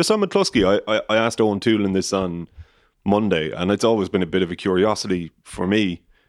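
A man's fairly low voice with an Irish accent, fairly quick and fairly even in intonation, on a very clean recording with a silent background. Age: 20s. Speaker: rugby podcast host. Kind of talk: casual chat.

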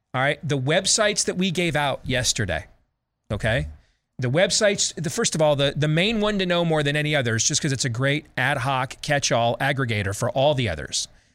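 A man talks with a fairly high pitch, lively intonation and very even loudness. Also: fairly quick pace, very clean recording, silent background. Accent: Midwestern. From US Midwest. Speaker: talk radio host. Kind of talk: talk radio commentary.

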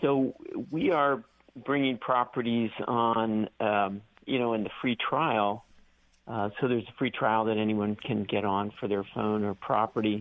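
Fairly slow and fairly even in intonation, a man talks. His pitch sits in the medium range. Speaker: company founder. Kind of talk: interview. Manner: halting.

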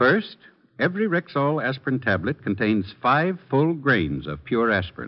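Using vocal fry, a man at a medium pitch talks at a moderate pace with very wide pitch swings. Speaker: radio commercial announcer. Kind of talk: scripted radio advertisement.

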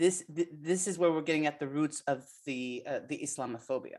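An ordinary speaking voice with ordinary pitch variation moves at a moderate pace. The recording is very clean, with a silent background. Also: woman. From US, partly raised in Palestine. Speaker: political science professor. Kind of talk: radio interview.

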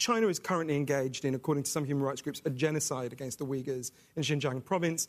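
A man with a fairly high pitch talks at a very fast pace with ordinary pitch variation. The recording is very clean, with a silent background. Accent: British. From England. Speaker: author. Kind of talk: panel discussion.

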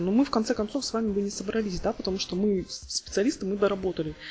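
Very fast and somewhat breathy, a woman speaks with a fairly high pitch. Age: 30s. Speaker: podcast host, software tester. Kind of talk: casual chat.

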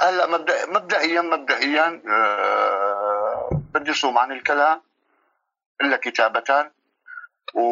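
Lively in intonation yet very even in loudness, a man speaks at a very slow pace with long, frequent pauses. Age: 50s. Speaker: refugee. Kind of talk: interview. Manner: halting.

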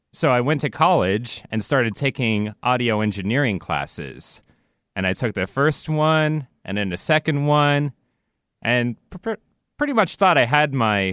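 Using an unremarkable speaking voice, a man with an American accent talks at a moderate pace with lively intonation, recorded dry and close with no echo on a very clean recording with a silent background. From US Pacific Northwest, Renton near Seattle. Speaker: studio engineer. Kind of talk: casual chat, personal story. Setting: radio studio.

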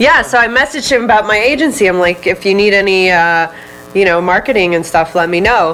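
With music in the background, a woman speaks at a fairly quick pace in a medium pitch, her intonation lively and her loudness very even. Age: 20s. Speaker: wellness retreat founder and marketer. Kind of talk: casual interview. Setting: studio.

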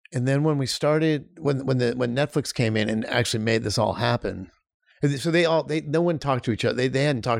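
A plain, everyday voice: a man at medium pitch and a fairly quick pace, with ordinary pitch variation, in a very clean recording with a silent background. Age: 50s. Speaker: film director. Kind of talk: casual chat.

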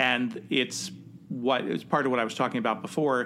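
A man with a Midwestern American accent speaks at a medium pitch. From US Midwest, Cincinnati. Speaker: theatre director and podcast host. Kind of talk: casual interview chat.

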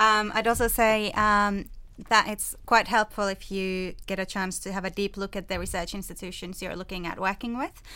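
A woman with a Finnish accent speaks at a moderate pace and medium pitch, with fairly even intonation and a bright, sharp tone. Her loudness swings widely on a very clean recording with a silent background. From Finland. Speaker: PhD student. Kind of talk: panel discussion.

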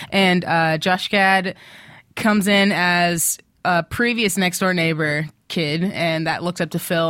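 A woman speaks in an American accent at a fairly slow pace, with a fairly low pitch and fairly even intonation. It is a normal speaking voice, captured in a very clean recording with a silent background. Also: very even loudness. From Texas (Austin). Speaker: TV recap podcast co-host. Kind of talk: casual chat. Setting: studio.

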